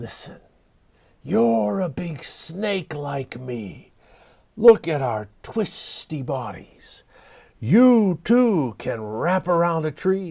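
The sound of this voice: A man in a put-on character voice speaks at a very slow pace, with hissing. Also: fairly high pitch for a man.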